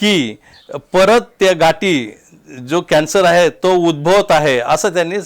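A high male voice shifts in pitch by a normal amount. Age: 60s. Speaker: cancer patient. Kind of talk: testimony. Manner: halting.

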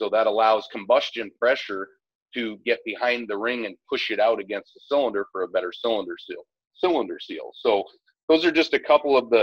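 The sound is dry with no echo and a quiet background. A man talks at a fairly quick pace with big swings in loudness. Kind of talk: interview answer. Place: workshop.

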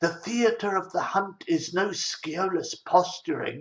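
Against a quiet background, a man talks at a very slow pace. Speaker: storyteller. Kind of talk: narrated essay talk. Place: home room. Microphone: webcam.

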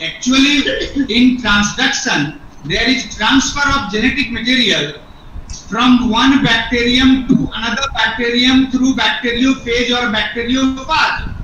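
The voice is raised and projected, moving at a fairly slow pace with ordinary pitch variation. Audible room echo and light background noise are present. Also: man. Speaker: biology teacher. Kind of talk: group discussion. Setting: video call. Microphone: video call.

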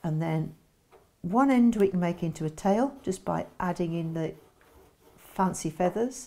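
A woman speaks at a fairly slow pace with a fairly low pitch, a dark, mellow tone and ordinary pitch variation.

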